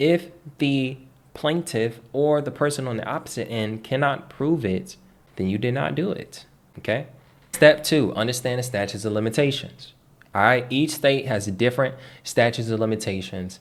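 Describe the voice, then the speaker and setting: At a moderate pace with ordinary pitch variation comes an ordinary speaking voice. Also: man, medium pitch for a man. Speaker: online finance and debt educator. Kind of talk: tutorial. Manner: casual, conversational.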